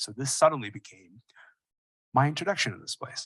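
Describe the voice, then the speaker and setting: Against a quiet background, a man with a Canadian accent speaks in a bright, sharp tone. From Sudan, then Kingston, Ontario from age 12. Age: 30s. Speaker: keynote speaker. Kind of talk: keynote speech. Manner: casual, conversational.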